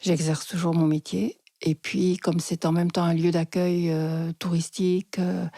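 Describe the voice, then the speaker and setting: A woman's dark, mellow voice, fairly low in pitch, monotone and flat, at a moderate pace, with a dry, close sound and no echo. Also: very clean recording, silent background. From France (Lozère), partly Switzerland. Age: 60s. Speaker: psychotherapist. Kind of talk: interview storytelling.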